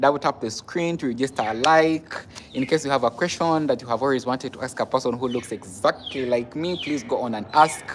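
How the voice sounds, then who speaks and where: The speech moves at a fairly quick pace while music plays in the background. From Uganda. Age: 20s. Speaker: nurse and live streamer. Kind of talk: casual live stream chat.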